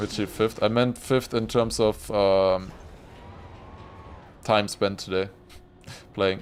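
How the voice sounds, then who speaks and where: A man with a German accent speaks fairly slowly at a fairly low pitch, in a monotone, flat way, with long, frequent pauses. Music plays in the background. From Germany. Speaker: gaming streamer. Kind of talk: casual live-stream commentary.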